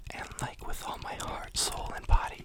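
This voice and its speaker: A hushed whisper comes through with clearly audible noise behind it. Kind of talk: ASMR talk to camera, relaxed chatty monologue. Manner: soft-spoken, relaxed, casual.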